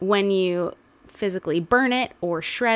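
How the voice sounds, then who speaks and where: At a fairly slow pace, a woman with a normal speaking voice talks at medium pitch with ordinary pitch variation. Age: 20s. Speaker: podcast co-host. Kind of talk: casual chat.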